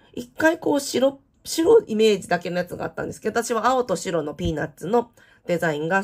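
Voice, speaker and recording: With very wide swings in pitch, this woman moves at a fairly quick pace. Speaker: theme park vlogger. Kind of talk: product showcase narration. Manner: polite, formal.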